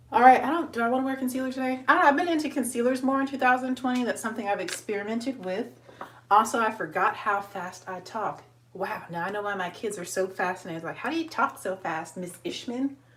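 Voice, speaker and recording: A woman speaks very fast at a fairly high pitch. Noticeable background noise sits behind her. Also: lively intonation. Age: 20s. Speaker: beauty vlogger. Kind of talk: makeup tutorial. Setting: live video stream.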